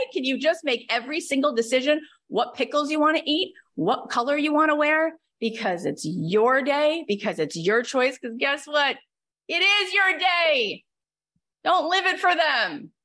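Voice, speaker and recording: In an American accent, a woman uses a raised, projected voice with a high pitch, a bright, sharp tone and lively intonation at a moderate pace. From upstate New York. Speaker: podcast coach and host. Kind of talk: group coaching call. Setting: video call. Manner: animated.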